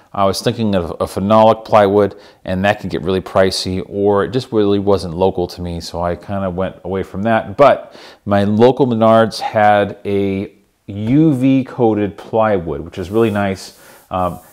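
Over a quiet background, a man with an unremarkable speaking voice speaks at a moderate pace, his pitch fairly low and varying in an ordinary way. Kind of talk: tutorial. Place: workshop.

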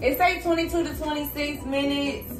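A woman speaks at a moderate pace. Clear music plays behind her. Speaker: vlogger. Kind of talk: casual talk to camera. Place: kitchen. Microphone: phone near.

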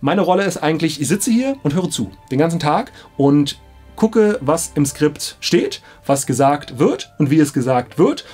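A man speaks at a fairly high pitch with big pitch swings, a slightly mellow tone and a slightly husky edge, taking few pauses while faint music plays in the background. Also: moderate pace.

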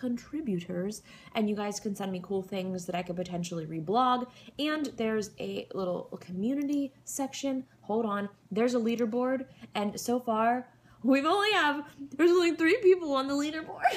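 The pitch swings very widely while the pace stays moderate. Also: woman. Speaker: vlogger. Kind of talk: casual vlog chat. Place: home room. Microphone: webcam.

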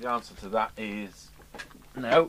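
A man with fairly low pitch and a fairly bright tone speaks at a fairly slow pace, with ordinary pitch variation.

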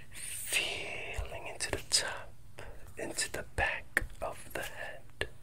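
Against noticeable background noise, a soft-spoken man is whispering. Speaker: meditation guide. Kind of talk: guided meditation. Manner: soft close whisper, slow and calming. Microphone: earbuds.

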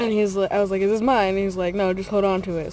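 The woman's voice has a dry sound with no echo, and faint music plays in the background. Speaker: vlogger. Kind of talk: casual vlog chat. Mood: amused, laughing. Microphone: phone near.

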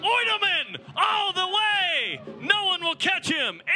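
A man speaks with noticeable background noise. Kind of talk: live play-by-play rugby commentary.

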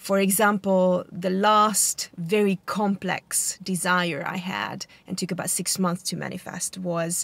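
Delivery is fairly slow and monotone, with flat intonation. The sound is dry, with no echo. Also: woman. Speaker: vlogger. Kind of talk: casual vlog chat. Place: car. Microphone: phone near.

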